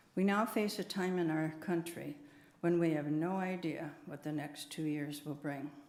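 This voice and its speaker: With audible room echo around her, a woman talks at a very deep, low pitch with fairly even intonation in an American accent. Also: moderate pace. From USA. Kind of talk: prepared talk at church service.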